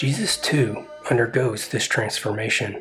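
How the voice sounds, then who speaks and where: A man talks at a moderate pace as music plays behind him. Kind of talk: mythology essay narration.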